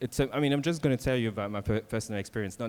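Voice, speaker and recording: A man talks with a French accent and ordinary pitch variation. The recording is very clean, with a silent background. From France. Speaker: workshop facilitator, panelist. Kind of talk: panel discussion.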